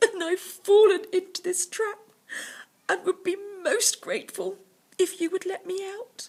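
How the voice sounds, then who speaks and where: Someone uses a put-on character voice. The pace is moderate. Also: woman, extremely high pitch for a woman. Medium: read story. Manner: formal, falsely polite.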